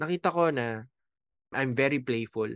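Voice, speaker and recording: Speaking with an unremarkable speaking voice, a man holds a medium pitch and a moderate pace. The sound is dry and close with no echo, over a quiet background. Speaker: life coach and podcast host. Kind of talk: solo podcast monologue. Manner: casual, conversational.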